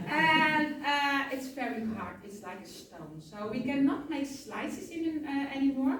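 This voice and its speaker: A woman with a Dutch accent and a high pitch speaks at a fairly slow pace with hardly any pauses, big swings in loudness and audible room echo. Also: ordinary pitch variation. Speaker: tour guide. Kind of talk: guided tour explanation. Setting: cheese farm tour.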